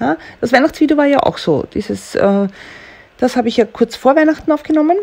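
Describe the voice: Speaking at a fairly quick pace, a woman has a high pitch, lively intonation, a slightly mellow tone and vocal fry.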